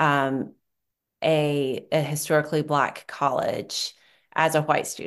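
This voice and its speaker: Against a quiet background, a woman speaks in a very deep, low voice. Her pace is very slow. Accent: American. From North Carolina, Appalachia. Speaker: professor and author. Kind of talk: casual interview conversation.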